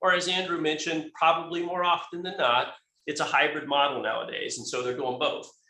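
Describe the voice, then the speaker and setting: Audible room echo surrounds a man talking at a fairly quick pace with a high pitch. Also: ordinary pitch variation. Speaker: company tech expert presenter. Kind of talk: webinar presentation. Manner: fast; hesitant, many fillers and restarts.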